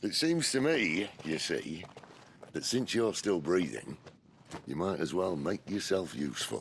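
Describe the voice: A man puts on a character voice, low in pitch with big pitch swings, and speaks at a fairly slow pace.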